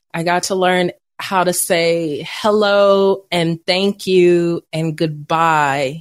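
In an East Texas accent, a woman talks very slowly at a fairly low pitch with fairly even intonation. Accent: East Texas drawl. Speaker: veteran, coach and podcast host. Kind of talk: casual interview chat.

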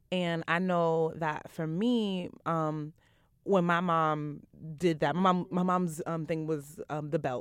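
A woman with a Brooklyn accent talks at a fairly low pitch in a very clean recording with a silent background. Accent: New York, Brooklyn. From Brooklyn, New York. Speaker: nonprofit program manager and activist. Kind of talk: casual chat. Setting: studio.

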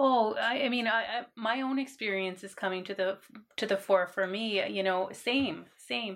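In a Canadian accent, a plain, everyday voice moves at a moderate pace with ordinary pitch variation. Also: woman, medium pitch for a woman. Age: 40s. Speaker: university administrator. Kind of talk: interview.

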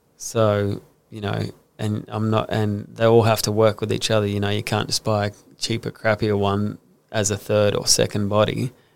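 Man at a fairly low pitch, monotone and flat, moderate pace, very clean recording with a silent background. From Brisbane, Australia. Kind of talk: casual interview. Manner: hesitant, many fillers.

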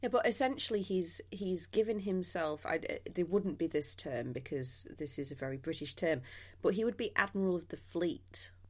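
Very wide pitch swings give this voice an animated tone on a very clean recording with a silent background. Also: woman, fairly low pitch for a woman, moderate pace. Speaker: guest host, history podcaster. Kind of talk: casual chat. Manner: animated, jokey.

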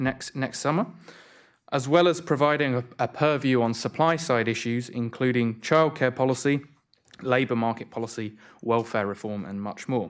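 Delivered with a British accent at a moderate pace, the voice shows ordinary pitch variation on a very clean recording with a silent background. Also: man, medium pitch for a man. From UK. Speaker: think tank economist and moderator. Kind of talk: event moderation. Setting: stage with audience.

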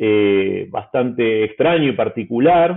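A man with an Argentine accent speaks with lively intonation. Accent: Argentine Spanish (Rioplatense). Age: 40s. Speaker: newspaper editor. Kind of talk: interview. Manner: hesitant fillers.

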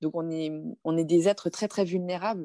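A plain, everyday voice at a moderate pace, fairly even intonation, dry and close with no echo. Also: woman. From France. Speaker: film director. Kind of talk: interview conversation.

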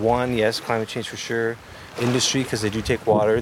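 Over noticeable background noise, a man speaks at a fairly quick pace and medium pitch with monotone, flat intonation. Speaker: First Nation government manager. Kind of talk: interview.

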